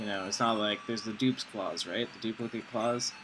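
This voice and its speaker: A man speaks at a medium pitch in a monotone, flat way. Noticeable background noise is present. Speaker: gaming video creator. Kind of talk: gameplay commentary. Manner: fast; casual, filler-heavy.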